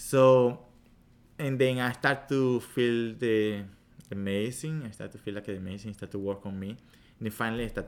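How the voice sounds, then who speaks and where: In a Spanish accent, a man speaks at a moderate pace and a medium pitch with fairly even intonation. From Venezuela. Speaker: meditation and yoga teacher. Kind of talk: casual interview.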